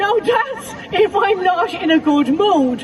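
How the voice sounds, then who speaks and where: With crowd noise in the background, a woman with an Irish accent speaks with very wide pitch swings. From west of Ireland. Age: 50s. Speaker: comedian and mental health counsellor. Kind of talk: stand-up. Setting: festival stage with audience. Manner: animated.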